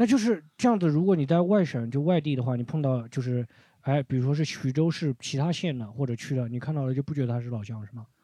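A man's fairly high voice with a dark, mellow tone, very fast with hardly any pauses, ordinary pitch variation, and a quiet background. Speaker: comedy podcast host. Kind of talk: casual chat. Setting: recording room with live audience. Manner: stumbles over words.

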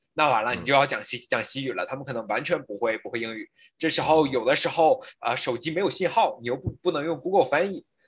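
A man is heard, pitched fairly high. He gets through his lines very quickly. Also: lively intonation. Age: 30s. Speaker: skier and climber. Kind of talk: casual chat. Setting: video call. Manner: animated.

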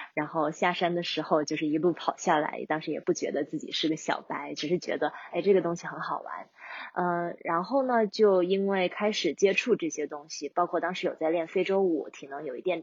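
Speaking fairly quickly with hardly any pauses, a woman with a normal speaking voice has a fairly low pitch and ordinary pitch variation. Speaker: long-distance hiker. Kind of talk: interview conversation.

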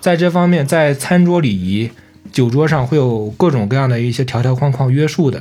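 A man at a moderate pace with a plain, everyday voice, lively intonation, and a fairly high pitch. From Shandong, China. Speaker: podcast co-host. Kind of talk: casual chat.

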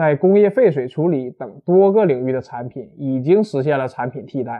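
Talking in an animated tone at a moderate pace, a man with a northeastern Chinese accent has a fairly high pitch and ordinary pitch variation. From Northeast China. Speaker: university lecturer, materials scientist. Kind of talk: popular science talk. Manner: animated, colloquial.

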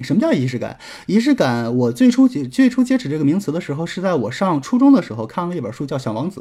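Speaking very fast, a man swings his pitch very widely in a dark, mellow tone. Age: 20s. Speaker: relationship advice podcaster. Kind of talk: solo advice lecture.

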